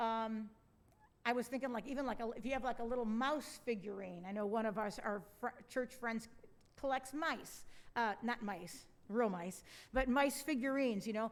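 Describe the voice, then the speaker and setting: A woman's high-pitched voice comes with audible room echo. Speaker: pastor. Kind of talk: sermon.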